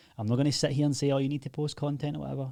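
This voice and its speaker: In a Glaswegian accent, a man talks at a medium pitch with a dark, mellow tone and a somewhat breathy quality, captured in a very clean recording with a silent background. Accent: Glaswegian Scottish. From Scotland, Glasgow. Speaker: online fitness coach and agency owner. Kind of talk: casual tutorial.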